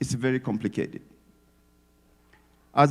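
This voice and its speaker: A man is speaking. He has an African accent. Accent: non-native English accent, African. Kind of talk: speech at community event. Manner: animated, emphatic.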